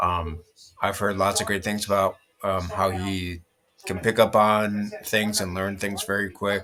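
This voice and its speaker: A man's fairly low voice, flat and monotone, at a fairly slow pace. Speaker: football video creator. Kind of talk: casual commentary. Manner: halting, filler-heavy.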